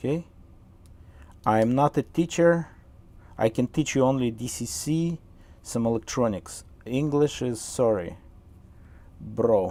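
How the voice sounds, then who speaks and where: A man's medium-pitched voice with a Russian accent, dark, mellow tone and lively intonation, at a fairly slow pace with long, frequent pauses. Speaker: model train hobbyist and tutorial host. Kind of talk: live-stream tutorial. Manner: halting, many fillers; casual, chatty.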